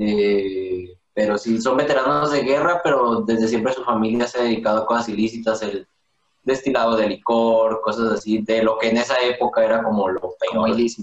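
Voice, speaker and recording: A man with a Mexican accent talks with fairly even intonation. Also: medium pitch for a man, moderate pace. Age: 20s. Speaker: cook. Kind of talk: casual chat.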